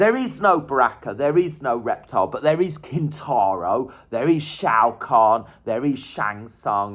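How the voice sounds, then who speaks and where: Sounding enthusiastic, a man with a northern English accent talks at a fairly slow pace with hardly any pauses. His pitch is medium. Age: 40s. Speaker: retro gaming YouTuber. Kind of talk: casual video monologue. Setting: at home in cold flat.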